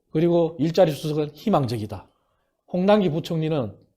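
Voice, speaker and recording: At a moderate pace, a man with a fairly high pitch is heard on a very clean recording with a silent background. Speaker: former think tank head, professor. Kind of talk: political talk show interview.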